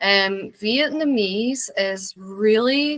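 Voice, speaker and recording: This woman speaks with a Scottish accent. Her pitch sits fairly high. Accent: mild Scottish. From Scotland, rural Borders village near England. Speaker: interview guest. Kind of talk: casual interview chat.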